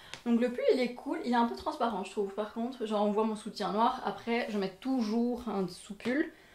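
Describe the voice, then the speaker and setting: Over noticeable background noise, a woman talks at a moderate pace. Her pitch is fairly high, with ordinary variation. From Belgium. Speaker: fashion and beauty youtuber. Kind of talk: try-on haul vlog. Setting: at home in front of a mirror. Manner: casual, chatty with many fillers.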